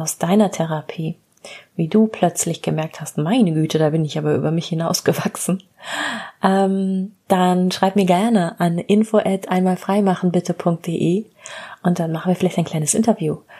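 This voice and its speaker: This woman has a fairly low pitch, a dark, mellow tone, and a somewhat breathy quality. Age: 40s. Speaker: psychotherapist and podcast host. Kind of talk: solo storytelling monologue.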